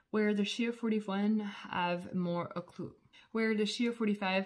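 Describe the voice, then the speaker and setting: The intonation is fairly even, and the background is quiet. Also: woman. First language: not English. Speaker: skincare business owner and reviewer. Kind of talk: product review vlog. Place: home room. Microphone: phone near.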